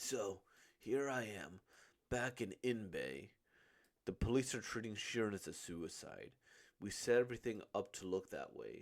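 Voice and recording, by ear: A man speaks with a fairly low pitch. His pitch swings a lot. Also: fairly slow pace.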